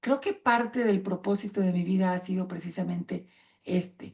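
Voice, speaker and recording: A woman has a plain, everyday voice with ordinary pitch variation. She talks at a moderate pace. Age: 60s. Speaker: patient advocate speaker. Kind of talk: conference talk.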